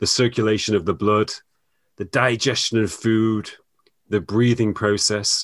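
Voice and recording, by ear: The clip features reading aloud in a natural voice. Nothing stirs in the quiet background.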